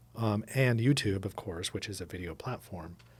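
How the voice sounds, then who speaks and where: A man speaks at a moderate pace in a fairly low, somewhat breathy voice with ordinary pitch variation. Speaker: podcast co-host. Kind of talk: casual chat.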